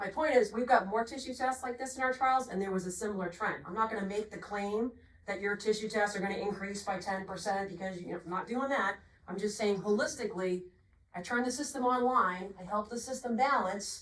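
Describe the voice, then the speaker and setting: Speaking at a fairly quick pace in a Boston accent, a woman with a medium pitch and ordinary pitch variation is heard over noticeable background noise. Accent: Boston accent, non-rhotic. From Boston, Massachusetts. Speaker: agronomy product representative. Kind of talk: technical sales presentation.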